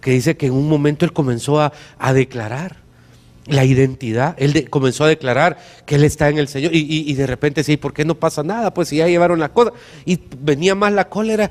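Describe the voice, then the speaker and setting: This man has a Salvadoran accent and a fairly high pitch with ordinary variation. The recording is very clean with a silent background. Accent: deliberate Salvadoran. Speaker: pastor. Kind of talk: sermon. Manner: frequent stammering repetitions.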